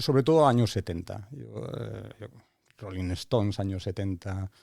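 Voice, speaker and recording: A dark, mellow tone comes through at a fairly slow pace in a very clean recording with a silent background. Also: man. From Spain, Asturias (Lugones). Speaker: engineer, tech executive. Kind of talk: casual interview.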